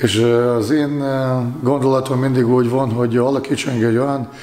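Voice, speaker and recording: There is audible room echo as a man speaks at a moderate pace in a medium pitch with fairly even intonation. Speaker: handball goalkeeping coach. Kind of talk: sports interview. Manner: halting, frequent fillers. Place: empty room.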